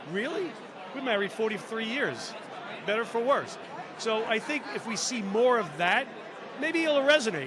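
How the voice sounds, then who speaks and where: An extremely high-pitched man's voice, animated and with lively intonation, at a moderate pace with long, frequent pauses, amid noticeable background noise and audible room echo. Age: 60s. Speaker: former reality show contestant. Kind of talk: casual chat. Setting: live stream at podcast convention.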